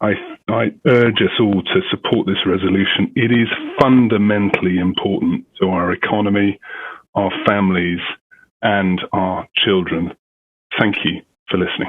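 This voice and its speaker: With a British accent, a man talks at a moderate pace in a fairly low pitch, keeping his intonation fairly even and leaving long, frequent pauses. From United Kingdom. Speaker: parent. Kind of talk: public comment at school board meeting.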